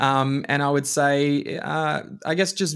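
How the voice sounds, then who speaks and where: A man speaks with an Australian accent in a medium pitch on a very clean recording with a silent background. His intonation is fairly even. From Australia (Queensland, Alice Springs, country town). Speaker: leadership consultant. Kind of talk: interview. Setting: podcast recording.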